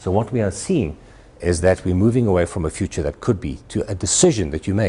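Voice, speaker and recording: A man's very deep, low voice, somewhat breathy, with a South African accent, lively intonation and a very fast pace. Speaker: futurist keynote speaker. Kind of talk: presentation to an audience. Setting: stage with audience at a university. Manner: animated.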